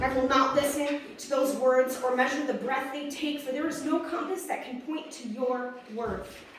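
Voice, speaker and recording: Against noticeable background noise, a woman with a high-pitched voice and fairly even intonation talks with hardly any pauses. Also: moderate pace, big swings in loudness. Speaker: slam poet. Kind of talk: slam poetry performance. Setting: live open mic.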